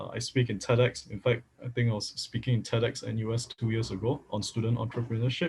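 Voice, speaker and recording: A man speaks at medium pitch, somewhat breathy. He keeps a fairly quick pace. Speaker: data science workshop instructor. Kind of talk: online workshop lecture. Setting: livestream.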